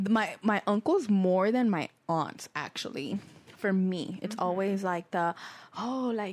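Speaking at a fairly slow pace, a woman uses a medium pitch with ordinary pitch variation. She has an unremarkable speaking voice. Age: 20s. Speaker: podcast co-host. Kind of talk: casual chat. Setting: studio.

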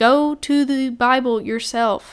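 In a very clean recording with a silent background, a woman talks at a high pitch with a Southern US accent. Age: young. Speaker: podcast host. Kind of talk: casual monologue.

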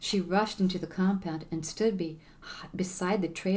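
A natural reading voice with fairly even intonation

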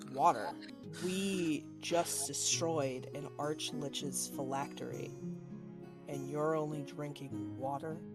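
A gruff, put-on character voice at a fairly slow pace, with loud music in the background. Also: man, medium pitch for a man.

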